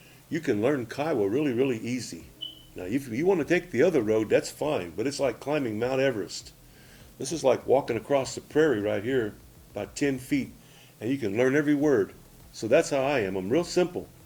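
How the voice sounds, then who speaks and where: An unremarkable speaking voice from a man with an American accent, medium in pitch, fairly quick in pace, with lively intonation. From Oklahoma (Anadarko). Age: 60s. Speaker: language teacher. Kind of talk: tutorial. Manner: casual, repetitive.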